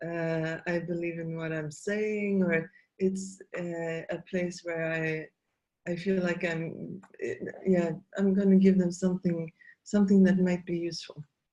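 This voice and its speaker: Fairly slow and fairly low in pitch, a woman talks in a dark, mellow tone with monotone, flat intonation. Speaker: facilitator and trainer. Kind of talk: interview conversation. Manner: halting, many fillers.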